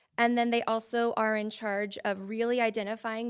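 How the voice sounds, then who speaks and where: A woman speaks at a moderate pace in a fairly high pitch, on a very clean recording with a silent background. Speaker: school district staff presenter. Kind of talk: board meeting presentation.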